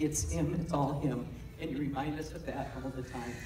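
A woman speaks at a moderate pace with ordinary pitch variation. There is noticeable background noise. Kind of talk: read testimonial speech. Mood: warm, grateful, heartfelt. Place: church.

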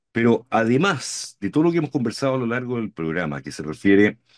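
A man speaks at a fairly quick pace. Behind him, the background is quiet. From Chile. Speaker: podcast host, co-host. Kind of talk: political talk show discussion. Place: home room.

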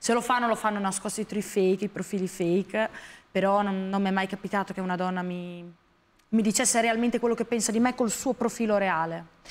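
A fairly quick pace with fairly even intonation. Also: woman. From San Marino. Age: 20s. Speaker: model and influencer; influencer. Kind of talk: TV interview. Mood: reflective, personal, somewhat subdued. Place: studio.

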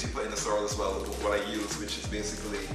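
Delivered at a fairly quick pace, the speech carries audible room echo with clear music playing in the background. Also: man. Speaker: presenter. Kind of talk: cooking tutorial. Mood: warm, nostalgic. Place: kitchen.

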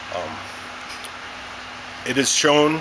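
There is noticeable background noise behind the man speaking. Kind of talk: product presentation. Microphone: phone near.

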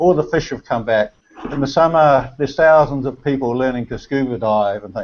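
This man speaks with a New Zealand accent. His voice is fairly high, with ordinary pitch variation. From New Zealand (Auckland). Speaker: amateur photographer. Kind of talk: casual chat. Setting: video call. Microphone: video call.

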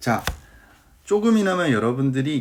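A fairly high-voiced man talks at a moderate pace, his pitch swinging very widely. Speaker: cover letter writing coach. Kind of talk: online lecture. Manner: animated.

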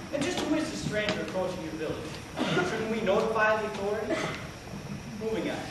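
A man talks at a fairly quick pace. Loud background noise and audible room echo surround him. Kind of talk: comedic stage monologue. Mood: mock-serious humor. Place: hall. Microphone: camera far.

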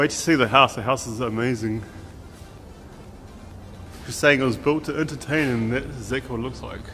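A man's voice against light background noise. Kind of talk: casual vlog chat. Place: garage. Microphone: phone near.

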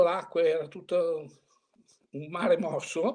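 A man with a high pitch and ordinary pitch variation speaks against a quiet background. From Italy, Bologna; Italy. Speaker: veteran competitive angler; interviewee. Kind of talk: interview reminiscence. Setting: video call. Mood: nostalgic, relaxed. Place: home room. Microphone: video call.

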